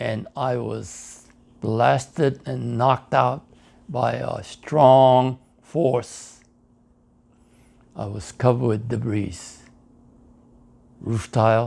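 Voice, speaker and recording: A man speaks at a very slow pace. His speech has long, frequent pauses. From Hawaii and Hiroshima, Japan. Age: 90s. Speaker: war veteran and atomic bomb survivor. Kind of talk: testimony.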